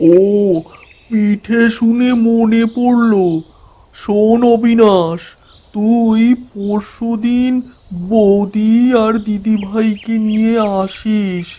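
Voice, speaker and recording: A man's cartoonish character voice, high-pitched and monotone with flat intonation, at a very slow pace. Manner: warm, folksy.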